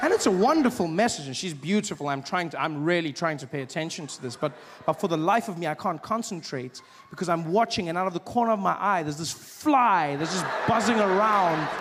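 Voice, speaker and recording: Fairly quick speech with lively intonation, set against noticeable background noise. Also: man, high pitch for a man. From South Africa. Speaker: stand-up comedian. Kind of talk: stand-up comedy set.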